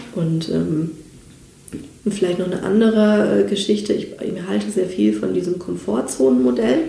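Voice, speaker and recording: A woman's fairly low voice with very wide pitch swings at a moderate pace, in audible room echo. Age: 30s. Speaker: personality development trainer. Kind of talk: interview.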